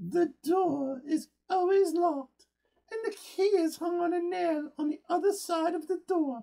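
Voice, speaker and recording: Speech comes at a fairly slow pace from a man. He uses a put-on character voice pitched extremely high. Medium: read story. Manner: grumbling, complaining.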